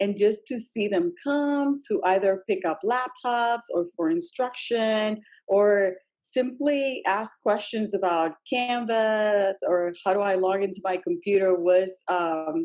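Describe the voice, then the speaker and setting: She has a Spanish accent and a medium pitch for a woman. Her intonation is lively and her pace very slow. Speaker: school district EL education leader. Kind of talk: podcast interview.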